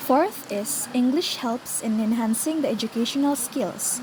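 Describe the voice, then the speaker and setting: A woman with a non-native accent speaks at a moderate pace in a high pitch, with ordinary pitch variation and noticeable background noise. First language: not English. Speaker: student presenter. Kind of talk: scripted class presentation.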